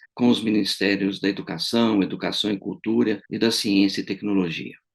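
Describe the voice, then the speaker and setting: Fairly low in pitch, this man uses an ordinary speaking voice and talks at a moderate speed. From Brazil. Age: 60s. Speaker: retired engineering professor. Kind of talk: political testimony to camera. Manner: formal.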